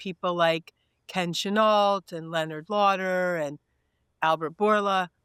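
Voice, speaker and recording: On a very clean recording with a silent background and a dry, close sound with no echo, a woman with an unremarkable speaking voice talks at a fairly slow pace in a medium pitch with fairly even intonation. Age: 60s. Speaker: corporate communications executive. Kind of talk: interview.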